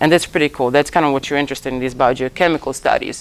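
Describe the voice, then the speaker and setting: Fairly even intonation from a woman with a very deep, low voice. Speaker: lecturer in ocean optics. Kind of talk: lecture. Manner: fast.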